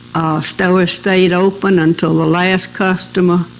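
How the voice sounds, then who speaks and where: A woman's fairly low voice in a South Carolina accent, at a fairly slow pace, over noticeable background noise. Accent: Southern US (South Carolina). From US South, Mullins, South Carolina. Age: 90s. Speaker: oral history interviewee. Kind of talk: oral history interview.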